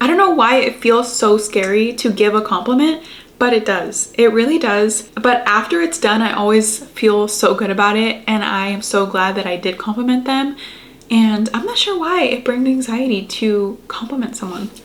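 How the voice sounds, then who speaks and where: Against noticeable background noise, a woman speaks at a moderate pace, her fairly high pitch showing ordinary variation. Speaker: lifestyle YouTuber giving advice. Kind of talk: casual vlog pep talk. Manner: casual, filler-heavy ('like').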